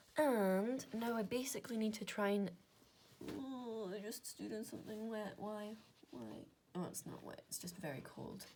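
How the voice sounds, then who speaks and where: With a slight Scottish Highlands accent, a woman speaks at a moderate pace in a fairly high pitch with ordinary pitch variation. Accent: Inverness Scottish, mild. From Scotland, Inverness. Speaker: maths content creator. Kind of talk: casual maths working-through monologue. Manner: casual, chatty with fillers.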